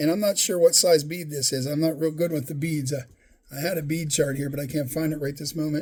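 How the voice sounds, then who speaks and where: A man with a somewhat breathy, fairly high voice talks at a very fast pace with fairly even intonation. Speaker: fly tying hobbyist YouTuber. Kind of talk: tutorial. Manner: halting, self-correcting; casual, conversational.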